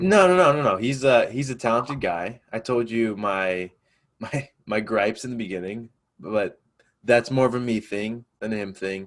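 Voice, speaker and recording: In a very clean recording with a silent background, a man with an American accent uses a plain, everyday voice with ordinary pitch variation. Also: medium pitch for a man, moderate pace. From upstate New York. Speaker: student podcast host. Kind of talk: casual chat.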